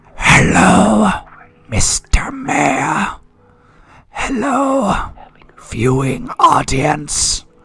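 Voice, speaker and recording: In a put-on character voice, a man uses a high pitch and a menacing tone, speaking at a very slow pace with long, frequent pauses. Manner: menacing, creepy.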